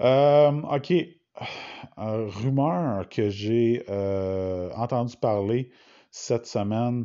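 In a Quebec accent, this speaker moves at a very slow pace with long, frequent pauses and ordinary pitch variation. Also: man, medium pitch for a man. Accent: Québécois French. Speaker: hockey podcaster. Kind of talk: solo podcast monologue. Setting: at home in quarantine. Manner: halting.

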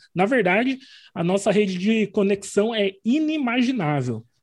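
Against a quiet background, a man with a high pitch speaks at a moderate pace. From Paraná, Brazil. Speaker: business strategist and mentoring group host. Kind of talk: casual group meeting. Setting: video call.

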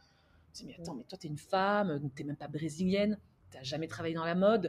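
A somewhat breathy woman at a very fast pace, with ordinary pitch variation. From France. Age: 30s. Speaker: entrepreneur. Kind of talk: interview.

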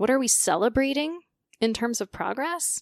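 Spoken in a plain, everyday voice at a moderate pace, the delivery has lively intonation and a dry, close sound with no echo. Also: woman. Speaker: speech language pathologist. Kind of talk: casual interview chat.

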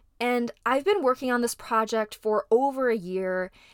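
A woman with a slight Midwestern accent, fairly high pitch and fairly slow pace, in a dry, close sound with no echo. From US Midwest. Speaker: podcast host, actress and model. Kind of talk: solo podcast monologue.

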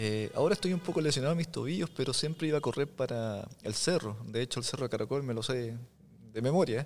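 A man talks very fast, his medium-pitched voice showing ordinary pitch variation. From Chile, Biobío region (Tomé and Lota). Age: 40s. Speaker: photographer and visual artist. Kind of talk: casual interview.

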